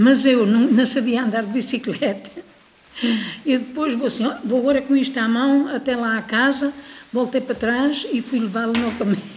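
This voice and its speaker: Delivery is at a moderate pace with fairly even intonation. Light background noise is present. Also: woman, high pitch for a woman. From Portugal. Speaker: former emigrant. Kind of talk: testimony. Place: hall.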